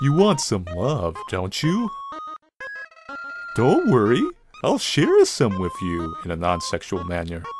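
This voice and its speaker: A man uses a put-on character voice at medium pitch and a fairly slow pace, with long, frequent pauses. Faint music plays in the background. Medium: solo performance. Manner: folksy, overly friendly.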